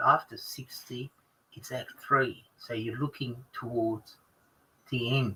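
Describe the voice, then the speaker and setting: A man with an Australian accent, medium pitch, a bright, sharp tone, fairly even intonation and a fairly slow pace. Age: 60s. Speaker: ex-lawyer guest on a group stream. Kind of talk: casual group chat on a livestream. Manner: halting, many fillers and restarts.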